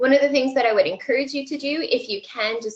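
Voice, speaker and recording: At a fairly quick pace, a woman speaks in a high voice. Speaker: student affairs professional giving job search advice. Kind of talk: webinar presentation. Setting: webinar broadcast. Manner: loud.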